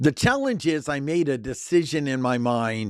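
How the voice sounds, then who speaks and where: A man with an American accent has an unremarkable speaking voice at a medium pitch with ordinary pitch variation, heard in a very clean recording with a silent background. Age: 60s. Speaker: personal development coach. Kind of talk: personal monologue.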